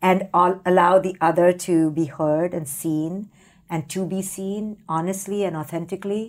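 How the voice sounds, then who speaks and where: A woman with an unremarkable speaking voice and a fairly low pitch speaks with ordinary pitch variation in a very clean recording with a silent background. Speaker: psychologist. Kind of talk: interview conversation.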